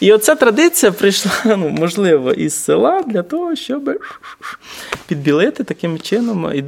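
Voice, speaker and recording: Over noticeable background noise, a man talks at a fairly slow pace in a high pitch that swings very widely. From Vinnytsia, Ukraine. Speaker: urban activist. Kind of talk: casual chat. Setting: large hall, basement.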